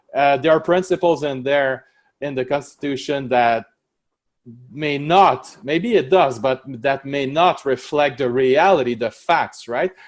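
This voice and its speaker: With a French accent, a man talks at a fairly slow pace and a fairly high pitch, with ordinary pitch variation. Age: 40s. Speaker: prosecutor and law professor. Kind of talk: interview. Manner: halting.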